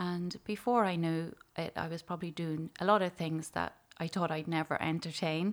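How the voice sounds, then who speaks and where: In a very clean recording with a silent background, a woman with an Irish accent speaks in a fairly low voice with fairly even intonation. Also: moderate pace. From Ireland, County Louth. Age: 40s. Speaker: psychotherapist and pastoral care worker. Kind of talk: testimony.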